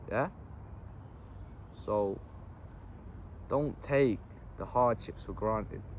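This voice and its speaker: A man's medium-pitched voice in a southern English accent, with ordinary pitch variation and a moderate pace. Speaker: vlogger. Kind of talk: casual monologue. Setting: outdoors in a park. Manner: animated.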